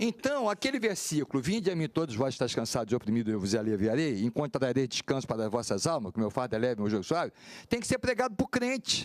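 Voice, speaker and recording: A man talks very fast at a medium pitch, with very wide pitch swings and hardly any pauses. His loudness stays very even, and the sound is dry and close with no echo. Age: 60s. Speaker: pastor. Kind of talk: panel discussion.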